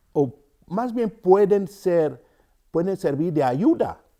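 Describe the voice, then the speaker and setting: Speaking at a very slow pace, a man has a dark, mellow tone on a very clean recording with a silent background. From Cameroon, rural centre. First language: Yambasa (speaking Spanish). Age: 50s. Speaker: storyteller and writer. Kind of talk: interview. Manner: halting, many fillers.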